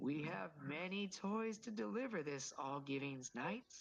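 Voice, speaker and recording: This put-on character voice moves at a moderate pace and sits at a middle pitch. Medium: actual play. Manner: hearty, jovial, warm.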